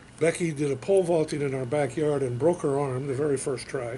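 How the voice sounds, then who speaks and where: Over noticeable background noise, a man with an American accent speaks at a fairly high pitch, a fairly quick pace and fairly even intonation. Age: 70s. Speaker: Army veteran, veterans council chairman. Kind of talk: oral history interview. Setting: veterans memorial center. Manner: hesitant, many fillers.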